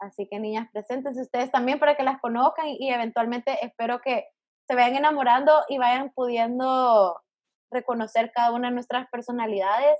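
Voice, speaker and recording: Her pitch is high and her intonation fairly even. The woman talks at a fairly quick pace. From El Salvador. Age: 20s. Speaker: podcast host. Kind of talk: casual chat.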